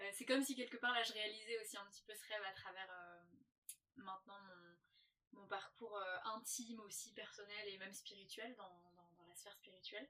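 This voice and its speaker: Her tone is bright and sharp as the woman talks with fairly even intonation. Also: medium pitch for a woman, moderate pace, big swings in loudness. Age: 20s. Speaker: holistic coach and former stage performer. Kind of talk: casual interview. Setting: in a caravan. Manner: halting.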